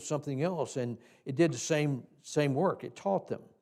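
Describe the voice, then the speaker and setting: A fairly high-pitched man with a Tennessee accent at a moderate pace, ordinary pitch variation, in a very clean recording with a silent background. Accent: Southern US (Tennessee). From US South, Tennessee hills. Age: 80s+. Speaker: Sunday school teacher trainer. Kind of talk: teaching seminar in church. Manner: halting, many fillers and repeats.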